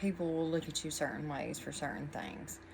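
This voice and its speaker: This woman has a very deep, low pitch and an American accent. Her intonation is fairly even, and room echo is audible. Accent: twang, often mistaken for Texan. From Virginia. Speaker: tarot reader. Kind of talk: tarot reading. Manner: casual, meandering with many fillers.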